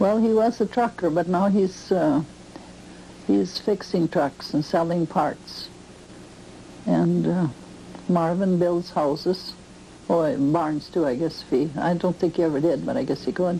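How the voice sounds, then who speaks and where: Speaking with an American accent, a woman has a fairly low pitch and ordinary pitch variation. She goes at a fairly slow pace with long, frequent pauses, against noticeable background noise. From US Midwest, rural western Wisconsin. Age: 70s. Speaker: farm grandmother interviewed about her life. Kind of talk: oral history interview. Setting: at her farm.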